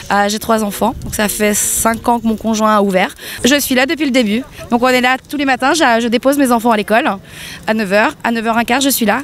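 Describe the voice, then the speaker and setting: Noticeable background noise sits behind a woman talking at a fairly quick pace with a fairly high pitch. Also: ordinary pitch variation. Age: 30s. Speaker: protester. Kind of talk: street interview.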